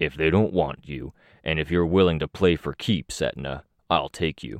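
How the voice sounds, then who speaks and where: In a put-on character voice, the speaker growls, with a dry, close sound with no echo and a quiet background. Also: man, very deep, low pitch for a man, moderate pace, ordinary pitch variation. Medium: audio drama. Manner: blunt, threatening.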